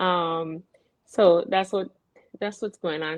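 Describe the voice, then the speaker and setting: A woman with a fairly low pitch speaks in an animated tone. Her pace is moderate, with ordinary pitch variation. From US Virgin Islands. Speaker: radio show host. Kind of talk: casual chat. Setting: live broadcast, remote. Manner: animated, halting.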